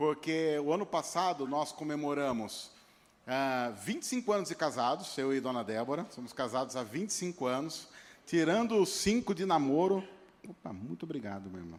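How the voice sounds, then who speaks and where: Using a São Paulo interior accent, a man speaks at a moderate pace and a fairly high pitch, his pitch swinging very widely. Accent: caipira accent from interior São Paulo. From interior of São Paulo state, Brazil (Piracicaba). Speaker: pastor. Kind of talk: sermon. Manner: halting, repeats words.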